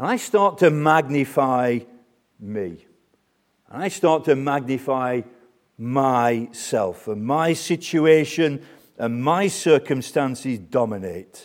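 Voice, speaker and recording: A man's medium-pitched voice with a British accent, lively intonation, and a very slow pace, on a very clean recording over a silent background. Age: 60s. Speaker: preacher. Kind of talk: sermon. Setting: church.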